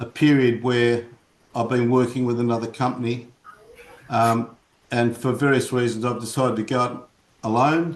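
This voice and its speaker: A man speaks with an Australian accent, his loudness very even and his intonation flat and monotone. He leaves long, frequent pauses. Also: medium pitch for a man, moderate pace. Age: 70s. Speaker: commercial real estate agent. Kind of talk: casual chat. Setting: video call.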